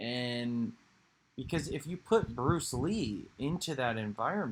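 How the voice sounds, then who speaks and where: Speaking fairly slowly, a man with a medium pitch and a somewhat breathy voice uses lively intonation. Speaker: video creator discussing philosophy. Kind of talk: casual monologue with guided meditation. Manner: halting, many fillers and restarts.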